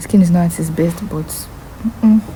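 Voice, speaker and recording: A woman's fairly even intonation against noticeable background noise. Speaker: university student vlogger. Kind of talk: casual vlog.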